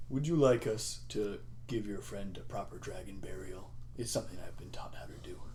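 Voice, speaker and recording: Over clear background noise, a man puts on a character voice at a fairly low pitch. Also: moderate pace. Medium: actual play.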